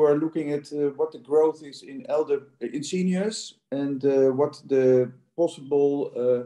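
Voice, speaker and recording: A man with a Dutch accent speaks at a very slow pace in a fairly high pitch, his tone dark and mellow and his intonation fairly even. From Netherlands. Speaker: audience member asking questions. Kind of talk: Q&A question. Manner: halting, many fillers.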